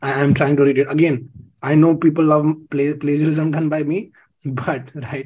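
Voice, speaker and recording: With a dark, mellow tone, a man talks at a moderate pace. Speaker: webinar host. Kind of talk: webinar talk. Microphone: webcam.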